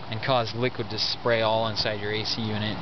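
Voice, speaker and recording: With loud background noise but a dry sound free of echo, a man speaks at a moderate pace. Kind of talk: tutorial. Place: garden. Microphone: phone near.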